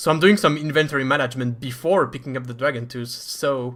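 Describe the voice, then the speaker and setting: With a French accent, a man talks at a fairly quick pace, his medium pitch showing ordinary variation. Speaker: speedrunner. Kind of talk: live gameplay commentary. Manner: halting.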